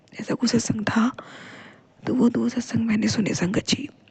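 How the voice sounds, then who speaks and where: The speaker is a woman. Her pitch is fairly high. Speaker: devotional vlogger. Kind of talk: devotional testimony.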